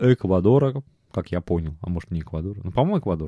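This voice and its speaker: Dry and close with no echo over a quiet background, a man with a dark, mellow tone talks at a very fast pace with very wide pitch swings. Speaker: podcast host. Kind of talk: casual monologue. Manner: animated.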